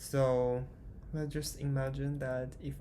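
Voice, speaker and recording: A man talks at a very slow pace. There is audible echo from the room. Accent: Chinese. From China. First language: Chinese. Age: 20s. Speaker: vlogger. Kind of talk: casual vlog monologue. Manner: halting, hesitant.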